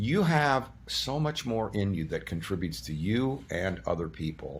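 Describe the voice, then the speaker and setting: Fairly low male voice with vocal fry, very wide pitch swings and a moderate pace. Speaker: surgeon and energy-practice teacher interviewed as a guest. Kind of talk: interview answer, explanatory talk.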